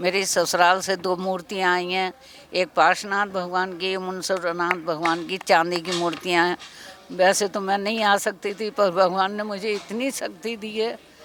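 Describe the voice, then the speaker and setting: With music in the background, a woman speaks in a flat, monotone way. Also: medium pitch for a woman. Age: 70s. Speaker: devotee attending religious festival. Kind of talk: interview.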